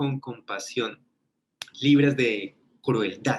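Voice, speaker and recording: With a Colombian accent, a man talks in fairly even intonation. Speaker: ministry teacher. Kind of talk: webinar lecture. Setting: online webinar.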